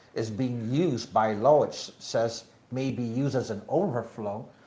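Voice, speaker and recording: The man's medium-pitched voice is dark, mellow and somewhat breathy, with ordinary pitch variation. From Guam. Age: 60s. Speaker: political candidate. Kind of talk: interview. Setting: live show at a bar venue. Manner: halting, many fillers.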